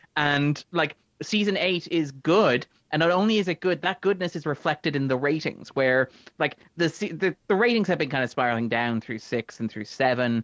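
Lively intonation carries this voice with an Irish accent. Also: man, fairly high pitch for a man, moderate pace. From Ireland. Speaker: film critic. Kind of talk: casual chat.

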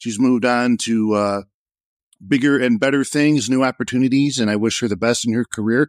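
A plain, everyday voice from a man at medium pitch, with fairly even intonation and a dry, close sound with no echo, on a very clean recording with a silent background. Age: 40s. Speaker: WordPress marketer and former news site founder. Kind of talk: casual panel discussion.

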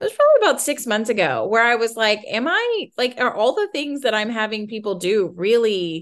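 Against a quiet background, a woman with a plain, everyday voice speaks at a moderate pace, fairly high in pitch, with lively intonation. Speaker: business founder. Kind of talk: casual interview. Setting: video call.

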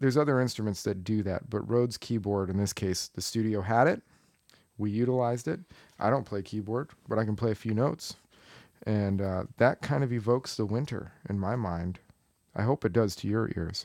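A man with an American accent speaks in an ordinary speaking voice at a fairly quick pace, his fairly low pitch showing ordinary variation, on a very clean recording with a silent background. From Arizona (Tucson). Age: 30s. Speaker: podcast co-host, cellist. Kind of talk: casual chat.

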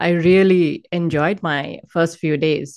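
A woman's fairly low voice with an Indian accent against a quiet background. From Hyderabad, south India. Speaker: author and speaker. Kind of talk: casual interview sharing personal testimony.

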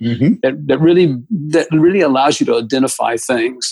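A man speaks with an American accent in an ordinary speaking voice. His pitch is fairly high and varies in an ordinary way. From US South, Atlanta, Georgia. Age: 60s. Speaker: architect. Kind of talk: interview.

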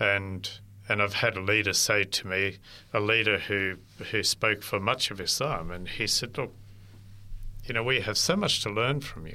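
A man with an Australian accent, fairly low in pitch, with a bright, sharp tone, ordinary pitch variation, a moderate pace and long, frequent pauses. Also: very clean recording, silent background. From inland New South Wales, Australia. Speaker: interfaith ministry worker. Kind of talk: interview. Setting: studio.

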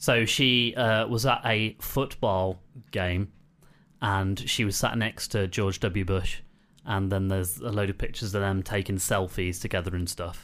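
At a fairly slow pace, a man talks in a fairly low pitch with a fairly bright tone and fairly even intonation.

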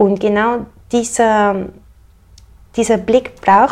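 The woman's intonation is monotone and flat. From Switzerland. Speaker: painter. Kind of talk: casual interview.

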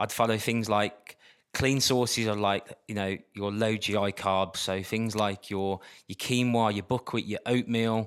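In a Birmingham accent, a man talks fairly slowly at a fairly low pitch in a flat monotone, on a very clean recording with a silent background. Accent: Birmingham (Brummie). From Birmingham, England. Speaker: dancer and dietitian, former athlete. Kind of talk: casual interview chat.

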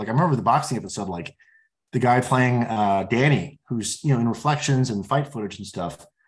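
A man speaks in a plain, everyday voice, medium in pitch and with ordinary pitch variation. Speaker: TV writer and producer. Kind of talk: interview.

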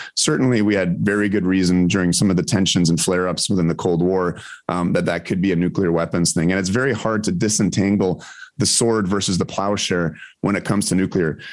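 A man speaks at a very fast pace in a very deep, low pitch. His intonation is fairly even and his loudness very even. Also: very clean recording, silent background. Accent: Canadian. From Ontario, Canada. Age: 40s. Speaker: physician and nuclear energy advocate. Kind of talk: interview.

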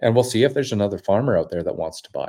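The man has a dark, mellow tone and a Canadian Prairies accent. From Saskatchewan, Canada. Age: 30s. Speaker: podcast host. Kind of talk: casual monologue. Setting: home studio. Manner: hesitant, many fillers.

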